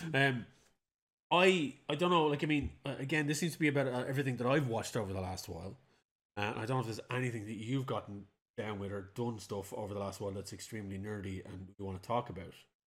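Very fast and full of lively intonation, a man talks in an Irish accent. The recording is very clean, with a silent background. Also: medium pitch for a man. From Ireland. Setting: home recording.

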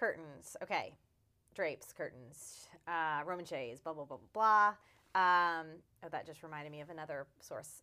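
A woman's bright, sharp tone at fairly low pitch, with ordinary pitch variation, big swings in loudness and a moderate pace, on a very clean recording with a silent background. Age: 30s. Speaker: interior designer and podcast co-host. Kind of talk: casual chat. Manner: animated.

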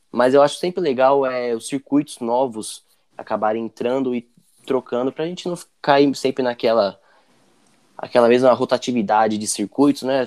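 A man with an unremarkable speaking voice, ordinary pitch variation, and a dry, close sound with no echo. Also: medium pitch for a man, moderate pace. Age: 20s. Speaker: sports podcast host. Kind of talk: casual chat.

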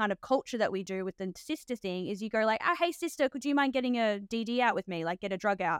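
A woman with an Australian accent, fairly high in pitch, at a fairly quick pace with ordinary pitch variation, in a very clean recording with a silent background and a dry, close sound with no echo. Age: 30s. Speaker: nurse and podcast host. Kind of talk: casual interview chat.

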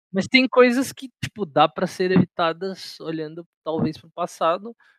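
Very wide pitch swings at a moderate pace, with a dry, close sound and no echo. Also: man. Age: 20s. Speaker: podcast co-host, journalism student. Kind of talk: casual chat.

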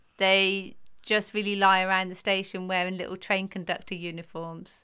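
With a British accent, a woman speaks at a moderate pace and medium pitch, her tone bright and sharp, in a very clean recording with a silent background. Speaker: podcast co-host. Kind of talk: casual chat between mother and daughter.

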